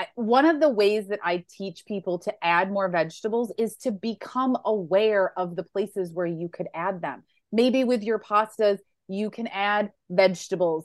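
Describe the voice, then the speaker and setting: A woman talks in an unremarkable speaking voice at a medium pitch and a moderate pace, with ordinary pitch variation. The sound is dry and close with no echo, over a quiet background. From Western New York. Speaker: plant-based lifestyle coach and cookbook author. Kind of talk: interview.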